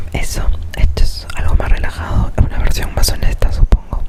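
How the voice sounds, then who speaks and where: Noticeable background noise fills the clip. Through it, a woman whispers at a moderate pace. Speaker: ASMR creator. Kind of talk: casual talk to camera. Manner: whispered.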